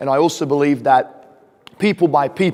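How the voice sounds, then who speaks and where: This man has a fairly high pitch and an Australian accent. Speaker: real estate investor and speaker. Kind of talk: conference presentation. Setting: stage with audience. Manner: casual, frequent fillers.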